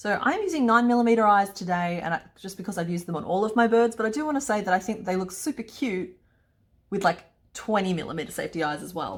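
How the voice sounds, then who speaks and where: A woman with an Australian accent at a very fast pace, medium pitch and ordinary pitch variation. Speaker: crochet pattern designer. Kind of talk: crochet tutorial talk to camera. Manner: upbeat, chatty.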